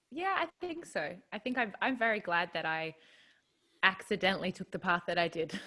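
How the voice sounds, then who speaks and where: In an Australian accent, a woman with a bright, sharp tone speaks at a medium pitch and a moderate pace, with ordinary pitch variation. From rural New South Wales, Australia. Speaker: country singer-songwriter. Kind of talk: casual interview.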